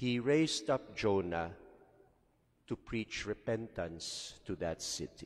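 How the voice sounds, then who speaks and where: With lively intonation, a man talks at a very slow pace in a fairly low voice. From Philippines. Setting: church during Mass. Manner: conversational, rhetorical questions; warm, pastoral, code-switching Tagalog and English. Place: church. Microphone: podium.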